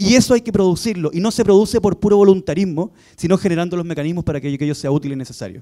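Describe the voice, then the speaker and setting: A man with a high pitch and a dark, mellow tone talks at a very fast pace. The background is quiet. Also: ordinary pitch variation. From Chile. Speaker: politician. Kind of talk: panel talk. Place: hall. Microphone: handheld.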